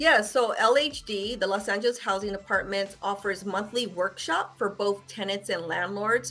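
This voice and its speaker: A woman at a medium pitch and a moderate pace, with ordinary pitch variation, hardly any pauses and music in the background. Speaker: housing department spokesperson. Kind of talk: interview.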